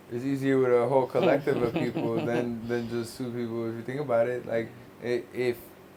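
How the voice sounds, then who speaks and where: Over noticeable background noise, a man talks at a fairly quick pace in a monotone, flat intonation. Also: medium pitch for a man. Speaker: podcast host. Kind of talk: casual podcast conversation.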